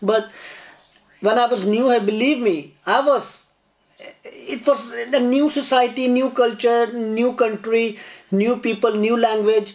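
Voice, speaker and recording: Speaking with a Pakistani accent, this man has an extremely high pitch and fairly even intonation. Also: fairly slow pace. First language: Urdu. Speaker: YouTuber. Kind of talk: casual chat. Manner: halting.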